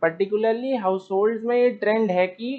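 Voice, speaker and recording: The speaker is a man with an Indian accent. He talks at a moderate pace. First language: Hindi. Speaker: student. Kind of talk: class presentation. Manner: halting.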